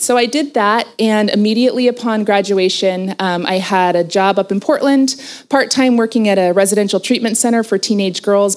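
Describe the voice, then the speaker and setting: With an American accent, a woman talks at a fairly quick pace and a medium pitch. Hers is an unremarkable speaking voice with ordinary pitch variation. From southern Oregon, US. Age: 40s. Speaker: marriage and family therapist. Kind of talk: interview at a women's retreat.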